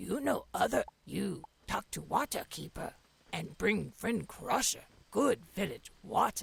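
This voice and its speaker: The speaker puts on a raspy character voice. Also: fairly slow pace. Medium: video game. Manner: broken, clipped sentences without articles; slow, plain and direct.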